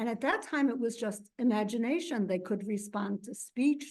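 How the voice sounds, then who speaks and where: A woman's voice sits fairly high in pitch and sounds somewhat breathy. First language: Yiddish. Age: 70s. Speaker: professor. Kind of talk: lecture. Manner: halting.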